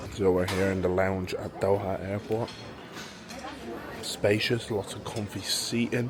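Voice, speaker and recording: A man is speaking with crowd noise in the background. Audible room echo surrounds his voice. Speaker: pro rugby player and travel vlogger. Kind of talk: travel vlog. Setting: airport lounge. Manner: casual; quiet, near whisper.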